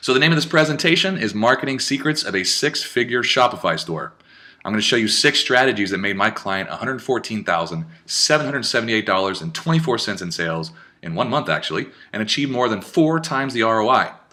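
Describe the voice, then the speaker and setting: Very fast and animated, a man talks at a medium pitch in a bright, sharp tone with very wide pitch swings. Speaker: digital marketer. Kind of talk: webinar presentation.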